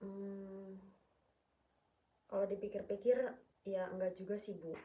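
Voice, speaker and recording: Speaking at a fairly slow pace, a woman keeps a monotone, flat intonation. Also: medium pitch for a woman. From Sumatra, Batak. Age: 20s. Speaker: counseling client. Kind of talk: role-play counseling session. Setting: at home. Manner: firm tone.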